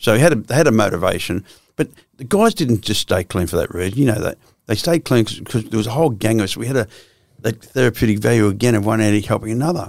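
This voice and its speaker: Speaking very fast, a man with an Australian accent holds a medium pitch with ordinary pitch variation. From Australia, Victoria (Swan Hill, Melbourne). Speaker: former criminal, addiction counsellor. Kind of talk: casual interview.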